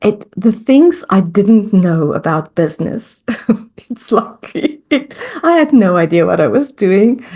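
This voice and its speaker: This woman's voice sits at a medium pitch and has a dark, mellow tone. She talks at a fairly slow pace with very wide pitch swings. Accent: American. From South Africa. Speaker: mindset coach. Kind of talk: interview.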